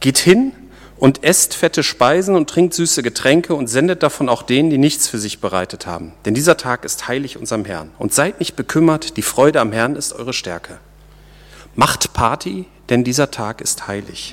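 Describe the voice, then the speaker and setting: Vocal fry runs through a man's fairly high-pitched voice, which has a warm tone. He speaks at a moderate pace in a very clean recording with a silent background. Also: lively intonation. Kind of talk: sermon. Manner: conversational and informal, explaining and joking; warm, earnest, teaching tone.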